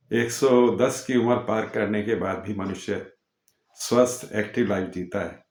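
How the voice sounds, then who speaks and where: A man talks at a medium pitch. His intonation is fairly even. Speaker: YouTube channel host. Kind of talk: casual talk to camera. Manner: hesitant, with filler sounds.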